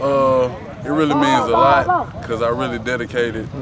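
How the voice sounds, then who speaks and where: At a fairly slow pace, a man speaks over loud background noise, the recording dry with no echo. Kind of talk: interview answer. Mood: relaxed, confident. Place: open country.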